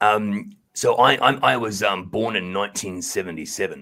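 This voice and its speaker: A man with an Australian accent. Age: 40s. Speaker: podcast guest. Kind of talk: interview.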